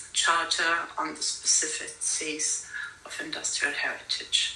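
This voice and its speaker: Noticeable background noise and audible room echo both surround a woman's speech. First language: not English. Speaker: conference speaker on industrial heritage. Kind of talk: conference talk. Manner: halting, many fillers.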